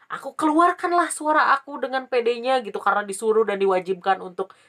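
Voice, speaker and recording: A woman talks at a fairly quick pace with a fairly high pitch and very wide pitch swings. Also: hardly any pauses. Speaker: vlogger. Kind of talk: casual storytelling vlog. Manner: casual, chatty.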